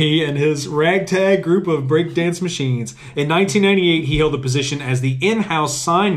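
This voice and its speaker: He speaks at a moderate pace, his pitch varying in an ordinary way. Noticeable background noise accompanies the man. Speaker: podcast host. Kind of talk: reading aloud; casual chat. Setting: sitting on a bench. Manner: starts big and robust, fades to normal.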